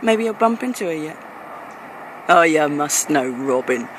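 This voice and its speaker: A woman's voice rises and falls in very wide pitch swings against noticeable background noise. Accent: American. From England. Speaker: performance poet. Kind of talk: spoken word poetry performance. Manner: rhythmic.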